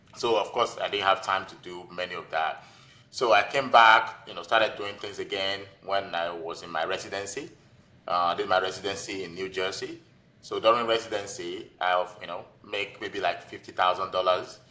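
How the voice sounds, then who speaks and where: The speaker has a Nigerian accent. The loudness swings widely. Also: man, moderate pace. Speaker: physician and real estate investor. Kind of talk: podcast interview. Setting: podcast.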